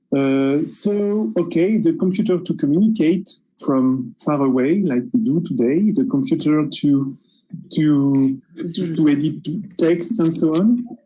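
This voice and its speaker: The voice carries a French accent. It moves at a fairly slow pace. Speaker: researcher. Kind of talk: panel discussion. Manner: hesitant.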